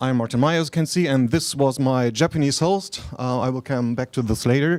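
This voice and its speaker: Fairly quick in pace, a man speaks at medium pitch with ordinary pitch variation. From Germany. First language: German. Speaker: martial arts researcher. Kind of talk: conference lecture. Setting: stage with audience. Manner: halting.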